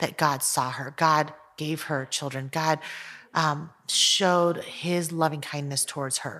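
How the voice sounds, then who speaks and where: A woman with an American accent, very deep and low in pitch yet bright and sharp in tone, monotone and flat, at a fairly slow pace, in a very clean recording with a silent background. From Taiwan, then United States from age five. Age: 40s. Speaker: artist and author. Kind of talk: casual discussion.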